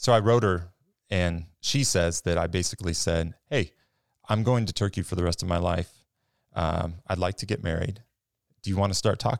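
With a very deep, low pitch and an American accent, a man speaks at a moderate pace with long, frequent pauses, in a dry, close sound with no echo on a very clean recording with a silent background. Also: ordinary pitch variation. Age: 30s. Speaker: church maintenance worker, former missionary. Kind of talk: interview testimony. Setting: studio.

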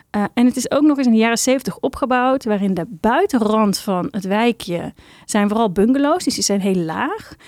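A woman with a fairly high pitch speaks in a slightly mellow tone. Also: ordinary pitch variation, moderate pace, dry, close sound with no echo.

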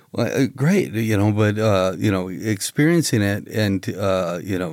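On a very clean recording with a silent background, an unremarkable speaking voice shows ordinary pitch variation. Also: man. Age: 50s. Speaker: comedian. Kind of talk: casual chat. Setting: studio.

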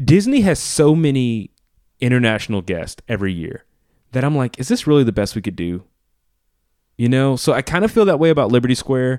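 With an American accent, a man talks at a fairly quick pace, his pitch swinging very widely between long, frequent pauses. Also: medium pitch for a man. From US South, Louisiana (New Orleans). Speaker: podcast co-host. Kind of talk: casual chat.

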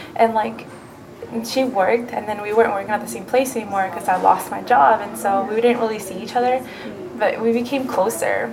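A woman with a Spanish accent and a fairly high pitch speaks at a fairly quick pace with ordinary pitch variation over noticeable background noise. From Mexico. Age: 20s. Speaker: college student interviewee. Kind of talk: interview. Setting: campus library.

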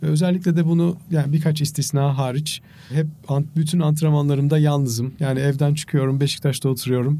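The voice has a dark, mellow tone and sounds somewhat breathy, moving at a fairly quick pace. Its intonation is monotone and flat, and its loudness is very even. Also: man, fairly high pitch for a man. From Turkey. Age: 50s. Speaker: marathon runner and charity fundraiser. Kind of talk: interview.

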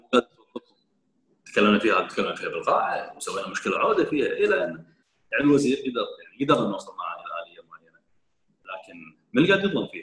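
Very fast speech from a man, his loudness swinging widely. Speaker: member of parliament. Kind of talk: casual interview.

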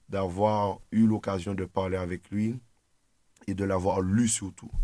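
In a dark, mellow tone and fairly low pitch, a man speaks in a flat monotone on a very clean recording with a silent background. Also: long, frequent pauses. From Martinique. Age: 20s. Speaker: political activist. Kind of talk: radio discussion. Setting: studio.

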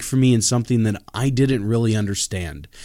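Heard on a very clean recording with a silent background, an ordinary speaking voice moves at a fairly quick pace with ordinary pitch variation. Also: man. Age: 30s. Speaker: pastor and podcast host. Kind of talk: solo religious podcast talk. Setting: studio.

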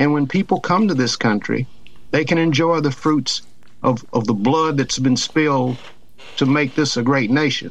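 With a Southern US accent, a man speaks at a fairly high pitch with ordinary pitch variation. The background is quiet. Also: moderate pace, very even loudness. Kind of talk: casual chat. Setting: studio.

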